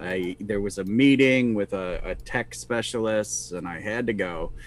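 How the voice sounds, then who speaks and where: A man talks at a fairly slow pace in an ordinary speaking voice. His pitch is medium, with ordinary pitch variation. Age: 50s. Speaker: podcast co-host, tabletop gamer. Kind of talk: casual chat. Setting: live stream.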